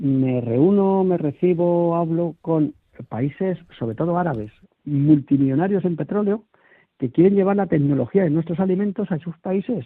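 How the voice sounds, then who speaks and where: A man with a fairly high pitch talks at a moderate pace, his intonation lively. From small village in Toledo, Spain. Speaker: food industry association director. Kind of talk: radio interview. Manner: halting, many repetitions.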